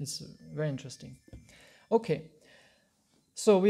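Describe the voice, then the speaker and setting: A man's dark, mellow voice in an Austrian accent, with lively intonation. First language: German. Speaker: Hare Krishna teacher. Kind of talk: lecture. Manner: halting.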